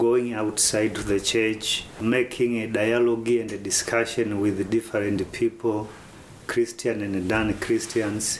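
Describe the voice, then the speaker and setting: Noticeable background noise accompanies a man speaking at a fairly slow pace and medium pitch. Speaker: pastor. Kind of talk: interview monologue.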